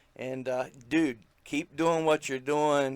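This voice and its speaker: A man with an American accent at a fairly slow pace and fairly even intonation. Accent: redneck. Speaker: wrestling podcast host. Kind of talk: casual interview chat.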